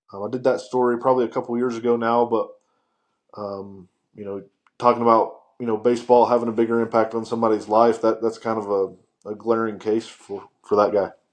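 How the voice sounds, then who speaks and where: A man speaks at a fairly quick pace with a slight Southern US accent and a medium pitch. His intonation is monotone and flat, over a quiet background. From US South, western North Carolina. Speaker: sports writer. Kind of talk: casual chat. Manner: halting, many fillers.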